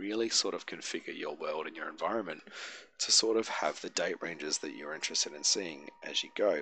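With an Australian accent, a man speaks at a fairly quick pace. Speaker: tabletop game master and software tutorial youtuber. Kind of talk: software tutorial. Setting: screen recording at home. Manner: halting, many filler words.

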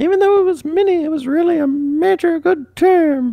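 A put-on character voice, pitched extremely high, at a moderate pace. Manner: silly, goofy.

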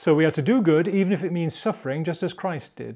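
A man's dark, mellow voice, with ordinary pitch variation, comes through against a quiet background. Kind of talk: devotional teaching talk. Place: studio. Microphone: lapel.

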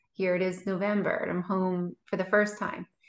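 A woman speaks at a moderate pace with fairly even intonation. The recording has audible room echo. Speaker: guest. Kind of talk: interview answer. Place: home room. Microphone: video call.

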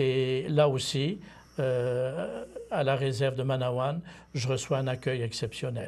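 Very slow, somewhat breathy speech from a man at medium pitch. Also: ordinary pitch variation. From Quebec, Bas-Saint-Laurent (Témiscouata); Quebec. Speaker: seminarian, former missionary; priest or missionary guest. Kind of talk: interview. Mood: calm, reflective. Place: studio. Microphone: lapel.

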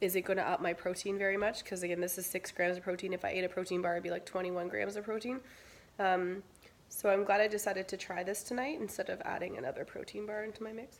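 A woman at a very fast pace, with fairly even intonation. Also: medium pitch for a woman. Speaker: keto diet vlogger. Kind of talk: casual product review vlog. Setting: after the gym. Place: kitchen. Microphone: phone near.

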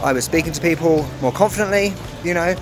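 The speech goes at a very fast pace. Clear music plays in the background. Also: man. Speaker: travel vlogger. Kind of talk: casual vlog chat. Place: cafe. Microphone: phone near.

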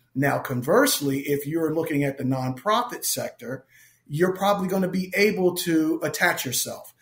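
An ordinary speaking voice with an American accent and ordinary pitch variation. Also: man. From Philadelphia. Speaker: nonprofit executive. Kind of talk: interview.

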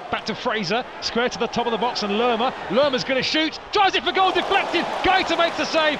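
Crowd noise behind a man's extremely high-pitched, very fast, animated delivery with lively intonation. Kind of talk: live football commentary. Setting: match commentary over highlights footage. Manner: fast, animated play-by-play delivery; excitable on key moments like the red card.

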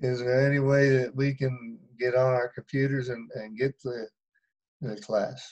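A man talks at a fairly slow pace in a monotone, flat intonation. The background is quiet. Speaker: bible class participant. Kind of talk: casual discussion. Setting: video call. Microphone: video call.

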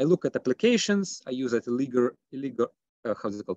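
Speaking at a very fast pace with lively intonation, a man is recorded with a dry sound, no echo and a quiet background. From Russia. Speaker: economics PhD candidate; candidate. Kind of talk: academic presentation. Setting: video call. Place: home room. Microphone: video call.

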